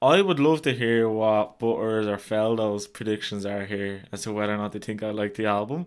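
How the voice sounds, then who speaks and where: Fairly low in pitch, a man talks at a fairly quick pace. He has an ordinary speaking voice. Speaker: podcast host. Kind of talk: casual chat. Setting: live-streamed video recording.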